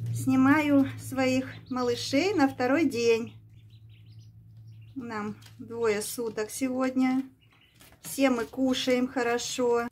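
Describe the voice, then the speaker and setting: Speaking at a very slow pace, a woman's voice sits high in pitch. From Kyrgyzstan. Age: 60s. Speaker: village pensioner vlogger. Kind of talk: casual vlog talk while feeding ducklings. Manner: warm, cooing to animals. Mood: warm, affectionate. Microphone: phone near.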